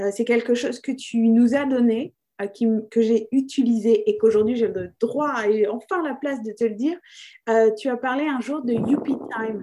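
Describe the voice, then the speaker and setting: Her tone dark and mellow, a woman with a high pitch speaks at a fairly slow pace, her intonation fairly even. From France. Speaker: improv theatre company founder. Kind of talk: interview.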